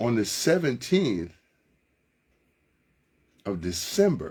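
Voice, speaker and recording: This man has an American accent and vocal fry. His pitch swings very widely. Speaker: radio sports host. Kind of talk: live sports radio monologue, casual and chatty. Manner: upbeat, enthusiastic, conversational.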